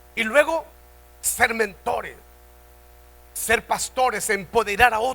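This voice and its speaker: Bright and sharp, a man's extremely high, raised and projected voice moves at a very slow pace with ordinary pitch variation and long, frequent pauses. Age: 70s. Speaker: pastor. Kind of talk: sermon. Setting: church convention.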